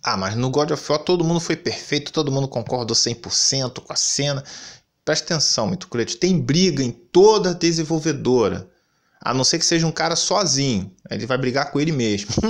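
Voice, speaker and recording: With an animated tone and lively intonation, a man talks at a moderate pace and fairly high pitch over a quiet background. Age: 30s. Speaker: gaming YouTuber; gaming commentator. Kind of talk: commentary rant. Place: home room.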